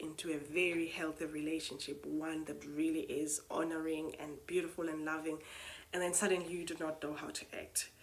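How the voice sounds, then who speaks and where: There is a non-native accent in this woman's speech. Her pitch is fairly low. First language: not English. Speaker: spoken word poet and retreat host. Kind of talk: reflective monologue. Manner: hesitant, many fillers.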